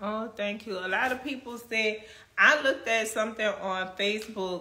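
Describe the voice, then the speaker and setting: With a Louisiana accent, a woman speaks at a fairly slow pace in a fairly high, bright, sharp voice with ordinary pitch variation. Room echo can be heard. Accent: Louisiana accent, noticeable. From Kenner, Louisiana. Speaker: actress and livestream host. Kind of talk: live stream chat reading comments.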